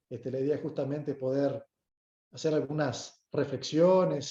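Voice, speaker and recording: A man speaks with a northern Uruguayan accent in a dark, mellow, somewhat breathy tone. His pace is fairly slow and his intonation fairly even. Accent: Uruguayan with Brazilian border tone. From Brazil, Uruguayan parents. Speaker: lawyer and guest lecturer. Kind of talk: lecture. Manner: formal, polite.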